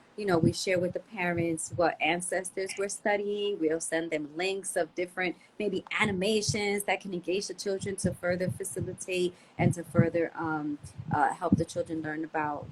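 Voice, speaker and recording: In an unremarkable speaking voice, a woman talks at a moderate pace. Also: fairly low pitch for a woman, fairly even intonation. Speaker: homeschool teacher and yoga school founder. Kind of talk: podcast interview.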